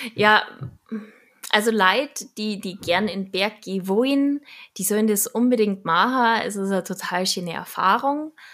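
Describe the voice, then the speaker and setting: The recording is very clean, with a silent background. A woman speaks at a medium pitch and moderate pace, with ordinary pitch variation. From Munich, Bavaria. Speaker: radio journalist and social media creator. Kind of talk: casual interview.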